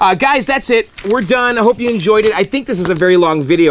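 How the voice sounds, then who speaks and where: Noticeable background noise sits under the recording. A man talks at a very fast pace with lively intonation. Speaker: YouTuber fixing arcade machines. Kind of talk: casual vlog outro. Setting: basement.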